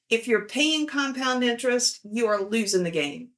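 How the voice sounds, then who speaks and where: Speaking with a Southern US accent, a woman uses lively intonation, a fairly high pitch, and a moderate pace. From US South. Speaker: financial video host, power engineer. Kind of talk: casual vlog commentary. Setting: at home with a dog.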